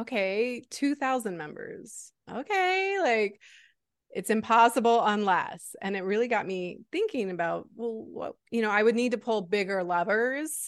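Against a quiet background, a woman with an ordinary speaking voice talks at a fairly slow pace with lively intonation. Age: 40s. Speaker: reinvention coach and entrepreneur. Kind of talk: interview conversation.

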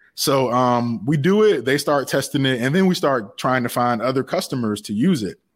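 A man with a normal speaking voice talks in an American accent with lively intonation. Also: very clean recording, silent background. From US South, Savannah, Georgia. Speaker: tech entrepreneur, app development founder. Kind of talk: interview. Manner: casual, with many fillers.

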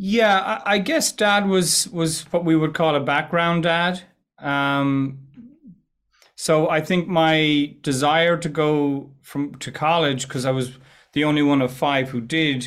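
Very slowly, a man speaks with an Irish accent. His pitch is fairly high, with ordinary variation. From west of Ireland. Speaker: entrepreneur and presentation coach. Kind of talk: casual interview chat. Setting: video call.

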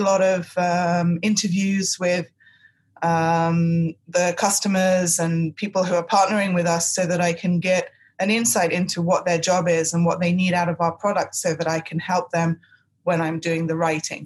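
A woman with a fairly low pitch and a somewhat breathy voice talks at a moderate pace. Her intonation is monotone and flat, and her loudness stays very even. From England. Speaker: technical writer. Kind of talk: interview.

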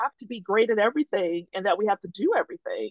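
A woman talks with very wide pitch swings. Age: 50s. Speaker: career coach. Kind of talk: interview.

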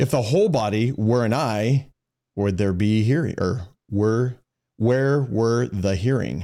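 At a fairly slow pace, a man speaks in a dark, mellow, playful tone with ordinary pitch variation and very even loudness. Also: medium pitch for a man. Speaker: podcast host. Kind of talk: casual chat. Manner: joking, playful.

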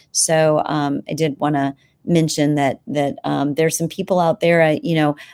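Captured in a very clean recording with a silent background, a woman with a fairly low pitch and a normal speaking voice talks at a moderate pace. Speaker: doctor running clinics.

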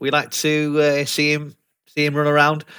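With a Yorkshire accent, a man speaks at a moderate pace. His voice is fairly high in pitch, with a bright, sharp tone. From Leeds, Yorkshire, England. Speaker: sales development rep. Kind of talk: casual interview chat. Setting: video call.

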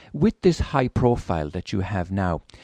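A man's dark, mellow tone in an Irish accent, fairly slow pace and lively intonation, dry and close with no echo over a quiet background. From Ireland. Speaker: radio host. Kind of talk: interview.

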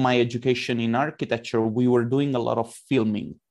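A man of medium pitch with an unremarkable speaking voice talks at a moderate pace with fairly even intonation against a quiet background. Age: 30s. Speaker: 3D artist and conference organizer. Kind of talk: interview.

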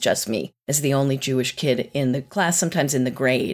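With an American accent, a woman delivers her words at a moderate pace. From US South, North Carolina. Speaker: executive coach. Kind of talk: interview.

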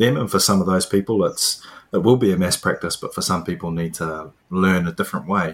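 A man with a New Zealand accent talks at a fairly quick pace in a very deep, low pitch with ordinary pitch variation. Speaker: podcast host, PE teacher. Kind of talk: interview.

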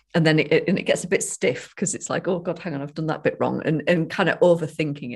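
Against a quiet background, a somewhat breathy woman speaks very fast at a fairly low pitch with ordinary pitch variation. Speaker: podcast co-host, sobriety coach. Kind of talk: casual chat.

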